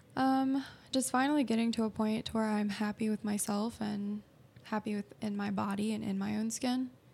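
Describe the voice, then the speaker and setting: At a moderate pace, a woman talks in a fairly high, somewhat breathy voice with fairly even intonation. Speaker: guest.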